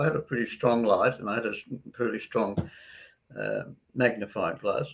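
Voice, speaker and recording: The speaker is a man in an Australian accent. He keeps to a moderate speed. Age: 80s+. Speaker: doctor. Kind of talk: interview. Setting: live online interview.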